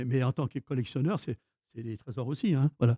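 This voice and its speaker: A man talks at a fairly quick pace in a fairly high pitch, his tone dark, mellow and somewhat breathy. The sound is dry and close with no echo. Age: 70s. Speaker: film collector. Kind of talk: interview. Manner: halting, many repetitions.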